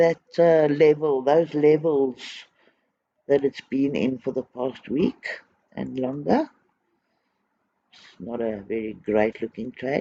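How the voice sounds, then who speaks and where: A man mumbling in a dark, mellow tone at a fairly high pitch, very slow, with long, frequent pauses, ordinary pitch variation and big swings in loudness, in a dry, close sound with no echo. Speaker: trading educator. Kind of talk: tutorial.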